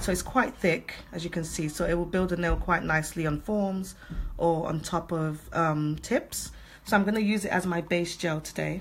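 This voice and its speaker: A woman speaks with a British accent at a fairly low pitch. Her pace is moderate and her intonation fairly even. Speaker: nail technician. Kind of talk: tutorial. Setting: livestream from home salon. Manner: soft-spoken.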